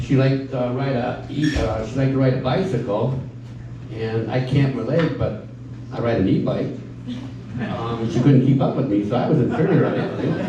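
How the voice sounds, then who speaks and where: Audible room echo and noticeable background noise surround a man of medium pitch. He talks at a fairly quick pace with fairly even intonation and long, frequent pauses. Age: 60s. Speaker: stand-up comedian. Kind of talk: stand-up. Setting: stage with audience. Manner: halting, many fillers.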